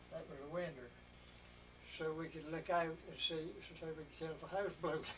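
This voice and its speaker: Noticeable background noise sits behind a man with a fairly high pitch. He speaks at a moderate pace in a monotone, flat intonation. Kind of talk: interview answer.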